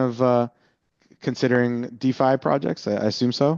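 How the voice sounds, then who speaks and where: A man's medium-pitched voice, dry and close with no echo, over a quiet background. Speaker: head of legal at a crypto trading firm. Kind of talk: presentation to startup cohort. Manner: fast; halting, many fillers.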